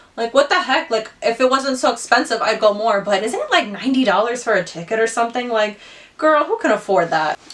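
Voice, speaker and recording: Woman with a fairly high pitch, animated tone, lively intonation and fairly quick pace, over noticeable background noise. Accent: American. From Ohio, US. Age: 20s. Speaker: beauty youtuber. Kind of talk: casual chat while doing makeup. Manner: chatty, animated.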